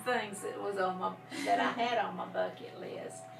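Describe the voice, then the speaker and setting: Noticeable background noise and audible room echo accompany this recording. The woman speaking keeps a moderate pace. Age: 60s. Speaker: grandmother interviewed for school project. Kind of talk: casual interview. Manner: halting, many fillers.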